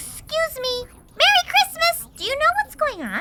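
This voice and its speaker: A put-on character voice from a woman, pitched extremely high. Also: moderate pace. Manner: upbeat, bubbly.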